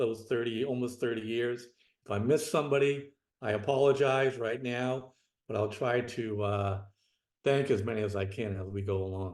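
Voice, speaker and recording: Fairly even intonation marks a man's voice, pitched in the medium range. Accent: strong Boston. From Boston area, Massachusetts. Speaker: retired federal special agent. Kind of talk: interview conversation.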